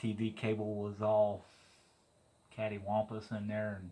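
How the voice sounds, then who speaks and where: A man speaks very slowly in a relaxed tone, fairly low in pitch, with monotone, flat intonation. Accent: Missouri. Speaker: DIY mechanic vlogger. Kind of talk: casual vlog narration. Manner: relaxed, conversational.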